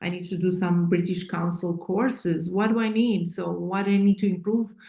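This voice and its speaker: A woman's medium-pitched voice, dark and mellow in tone and somewhat breathy, with fairly even intonation and a moderate pace. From Eastern Europe. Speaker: author and coach. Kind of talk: interview. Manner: halting, many fillers.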